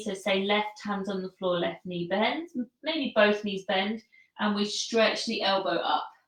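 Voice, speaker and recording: A woman at medium pitch speaks at a fairly slow pace with ordinary pitch variation. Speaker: yoga instructor. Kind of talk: guided yoga instruction. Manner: calm.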